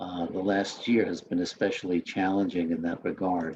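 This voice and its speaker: A slight Queens accent at a moderate pace. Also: man. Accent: slight Queens, New York. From Queens, New York. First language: Spanish. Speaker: newspaper editor. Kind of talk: talk to students. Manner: hesitant, with many fillers.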